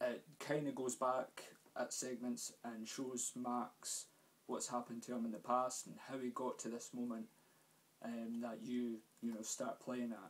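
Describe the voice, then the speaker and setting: A man with a Scottish accent speaks at a fairly slow pace in a medium pitch with fairly even intonation. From Scotland. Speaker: gaming youtuber. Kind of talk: casual game review vlog. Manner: hesitant, many fillers.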